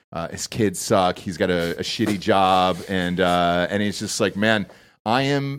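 Here a man with an American accent talks in a fairly low, unremarkable speaking voice. His intonation is lively, and the recording is very clean with a silent background. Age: 30s. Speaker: podcast host. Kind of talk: casual chat. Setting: studio.

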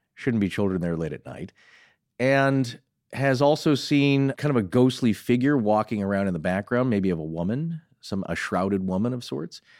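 A man with a Michigan accent speaks at a fairly low pitch and a moderate pace. His intonation is lively, in a very clean recording with a silent background. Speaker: podcast co-host. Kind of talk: casual chat.

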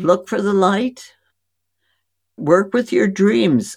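Speaking at a very slow pace, a woman with a medium-pitched voice shows vocal fry and very wide pitch swings. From India. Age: 80s+. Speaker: physician. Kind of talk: interview. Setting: remote call.

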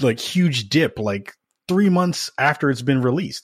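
Lively intonation marks a man's fairly high voice, delivered at a moderate pace. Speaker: gaming podcast host. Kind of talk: casual chat. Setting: remote call. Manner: animated.

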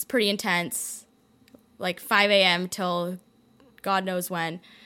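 Here a woman speaks in a Canadian accent. Her tone is bright and sharp, and her pace is fairly slow. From Toronto, Canada. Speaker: wellness content creator and health coach. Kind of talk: casual interview chat. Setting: studio.

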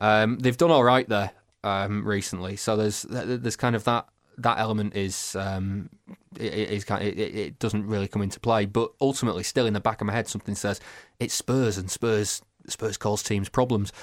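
A man with a fairly low voice speaks at a fairly quick pace with fairly even intonation in a very clean recording with a silent background. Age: 30s. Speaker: football broadcaster and podcaster. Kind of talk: casual chat. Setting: studio. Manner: halting.

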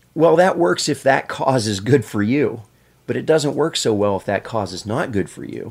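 A man with an American accent speaks in a normal speaking voice at a moderate pace. His intonation is lively, with big swings in loudness. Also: medium pitch for a man, very clean recording, silent background. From Pennsylvania. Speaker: brain researcher. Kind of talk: casual chat.

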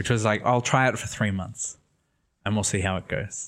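A man's fairly low, monotone voice with flat intonation on a very clean recording with a silent background. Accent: American. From Sydney, Australia. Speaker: artist and writer. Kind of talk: casual interview. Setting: apartment in Rome.

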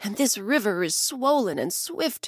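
A woman speaks at a fairly slow pace in a soothing, gentle tone with vocal fry. The recording is very clean, dry and close, with no echo and a silent background. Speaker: storyteller host. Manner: slow, soothing and gentle, with storyteller inflection.

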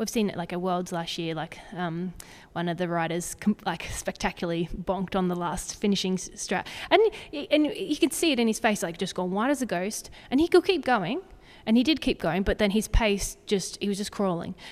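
A woman at medium pitch with an Australian accent, lively intonation and a fairly quick pace. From Zambia, Australian family. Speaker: sports dietitian. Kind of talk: casual interview. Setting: indoors by a fireplace.

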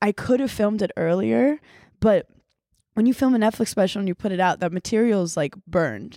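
On a very clean recording with a silent background and a dry, close sound with no echo, a woman with a medium pitch and a dark, mellow tone talks at a fairly quick pace with lively intonation. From Brooklyn, New York. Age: 30s. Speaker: comedian. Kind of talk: casual chat.

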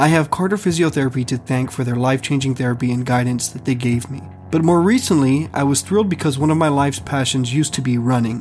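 A somewhat breathy voice at a very fast pace, with hardly any pauses and ordinary pitch variation. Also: man, medium pitch for a man. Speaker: podcast host. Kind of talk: scripted narration with ad reads. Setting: Austin, Texas. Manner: formal.

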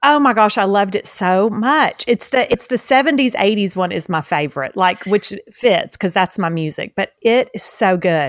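Lively intonation in a Southeast Texas accent, with hardly any pauses, on a very clean recording with a silent background. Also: woman, medium pitch for a woman. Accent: Southeast Texas Southern. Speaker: podcast co-host. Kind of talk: casual chat. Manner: fast talker.

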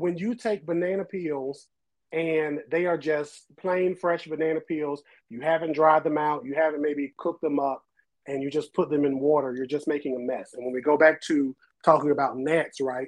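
A man with an American accent has an ordinary speaking voice at a fairly high pitch. He keeps a moderate pace and fairly even intonation. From Eastern North Carolina (New Bern). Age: 30s. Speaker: botanist. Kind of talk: casual interview chat.

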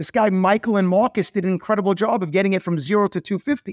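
Recorded very cleanly with a silent background and a dry, close sound with no echo, the speaker uses a New York accent at a fairly quick pace. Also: man. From US Northeast, Queens, New York. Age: 50s. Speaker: entrepreneur. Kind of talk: interview.

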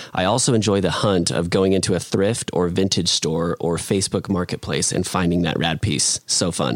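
In a dry, close recording with no echo, a man speaks at a very deep, low pitch. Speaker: podcast co-host reading listener questions. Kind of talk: casual chat.

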